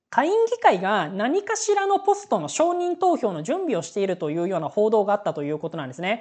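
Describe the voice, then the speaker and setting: A very fast pace with hardly any pauses. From Japan, Aichi. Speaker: news commentary youtuber. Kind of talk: solo news commentary. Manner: casual with many fillers.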